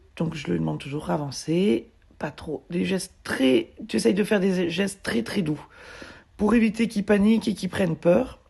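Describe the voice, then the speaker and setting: Speaking at a moderate pace, a woman uses lively intonation in a dark, mellow tone with vocal fry and a medium pitch. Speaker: mule and horse owner, video blogger. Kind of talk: voice-over narration of training video. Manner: casual, hesitant with fillers.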